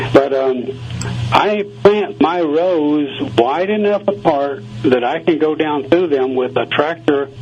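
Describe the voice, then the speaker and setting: Talking at a very slow pace with lively intonation, a man with an American accent has a fairly high pitch, and noticeable background noise can be heard. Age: 70s. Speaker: gardener. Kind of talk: radio interview.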